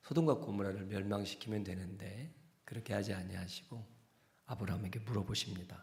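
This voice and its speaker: Somewhat breathy speech with ordinary pitch variation and audible room echo. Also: man. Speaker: senior pastor. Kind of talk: sermon. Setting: church.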